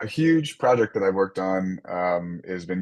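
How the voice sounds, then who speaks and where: Very deep, low pitch from a male speaker. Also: quiet background. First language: French. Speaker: software developer. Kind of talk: casual interview.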